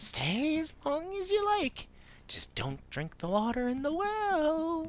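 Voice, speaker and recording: A put-on character voice, squeaky and high in pitch. It moves along at a fairly slow pace. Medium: game stream.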